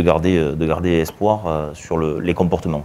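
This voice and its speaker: Against noticeable background noise, the talking goes along at a moderate pace. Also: man. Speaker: association president. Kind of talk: live televised interview. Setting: live broadcast before an audience. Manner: loud; hesitant, many fillers.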